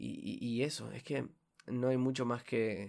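A man with a Uruguayan accent on a very clean recording with a silent background. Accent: Rioplatense Spanish (Uruguayan). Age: 20s. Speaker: student podcaster. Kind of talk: casual monologue. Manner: halting, with repetitions and fillers.

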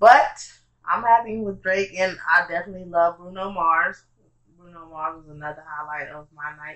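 Speaking at a moderate pace with a fairly low pitch, a woman shows ordinary pitch variation and big swings in loudness. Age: 20s. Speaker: podcast co-host. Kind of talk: casual chat.

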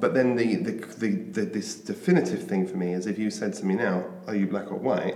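A man with a British accent at a fairly quick pace, amid audible room echo and noticeable background noise. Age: 50s. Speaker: author and mentor. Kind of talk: interview.

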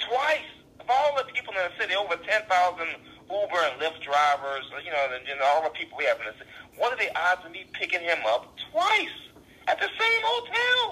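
A man speaks with a New Orleans accent at a fairly quick pace. His loudness swings widely. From US South, New Orleans. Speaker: stand-up comedian. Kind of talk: casual interview chat. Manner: fast talker.

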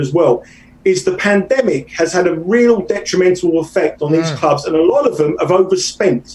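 With a British accent, a man talks at a moderate pace in a high pitch with lively intonation over noticeable background noise. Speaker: soccer bettor. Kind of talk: casual interview.

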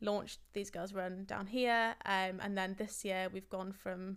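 A woman speaks at a moderate pace in an English accent. Her medium-pitched voice is monotone and flat. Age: 20s. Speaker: running club founder. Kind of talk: casual chat.

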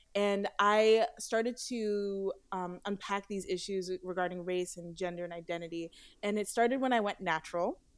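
Using a normal speaking voice in an American accent, the speaker keeps a moderate pace with hardly any pauses and fairly even intonation. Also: woman, medium pitch for a woman, very clean recording, silent background. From US, Haitian American family. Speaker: doll company founder. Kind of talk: interview.

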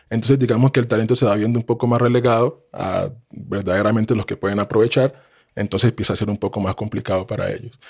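This man speaks very fast at a medium pitch, his intonation fairly even, in a dry, close sound with no echo. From Colombia. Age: 30s. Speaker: sports analyst and former basketball player. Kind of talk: casual interview.

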